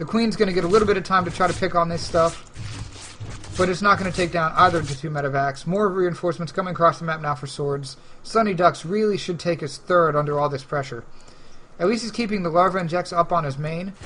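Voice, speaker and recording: The pace is very fast, with ordinary pitch variation. Noticeable background noise is present. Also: man, high pitch for a man. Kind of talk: live commentary. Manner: stumbling over words.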